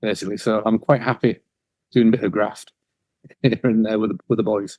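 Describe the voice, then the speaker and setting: A man with a Yorkshire accent at a fairly quick pace, medium pitch and fairly even intonation, in a dry, close sound with no echo. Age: 50s. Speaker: cleaning business owner. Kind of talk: interview.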